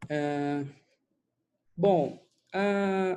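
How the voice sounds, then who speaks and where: A man's voice, dark and mellow in tone, shows ordinary pitch variation over a quiet background. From Brazil, Petrópolis, Rio de Janeiro state. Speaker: doctor, former surgical resident. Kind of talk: online lecture. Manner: casual, filler-heavy.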